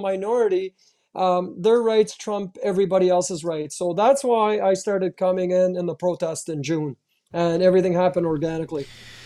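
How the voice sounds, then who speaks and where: In a Canadian accent, a man with a high pitch and a dark, mellow tone talks at a fairly quick pace with ordinary pitch variation over a quiet background. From Canada, Ottawa, Ontario. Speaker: activist and march organizer. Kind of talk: interview. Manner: animated.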